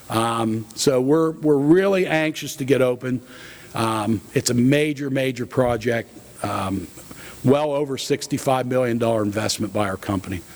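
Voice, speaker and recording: There is noticeable background noise as a man speaks with a Pennsylvania accent. His pitch is medium and varies in an ordinary way. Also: moderate pace. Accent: Pennsylvania American. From central Pennsylvania (Blair County). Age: 60s. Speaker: food company president. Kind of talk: keynote talk. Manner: casual with many fillers.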